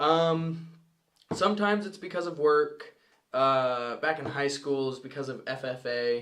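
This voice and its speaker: A man with an American accent has an ordinary speaking voice, fairly high in pitch with ordinary pitch variation, and talks at a fairly slow pace. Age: 20s. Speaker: podcast co-host. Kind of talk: casual chat.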